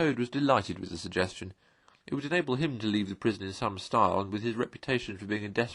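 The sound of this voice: What we hear is an unforced reading voice.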